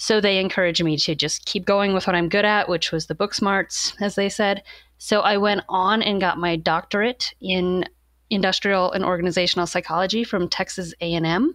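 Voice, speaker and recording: A woman with an American accent speaks at a medium pitch and moderate pace, with fairly even intonation and very even loudness, a plain, everyday voice. The recording is very clean, with a silent background. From Missouri, US Midwest. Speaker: psychology professor. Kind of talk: interview.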